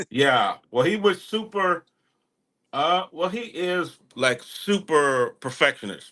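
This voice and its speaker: Against a quiet background, a man with a strong rural Texas accent talks at a very slow pace, high-pitched with a bright, sharp tone and lively intonation. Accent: strong country Texas. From Texas, small town. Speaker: music artist. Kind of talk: casual interview chat. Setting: live online radio show.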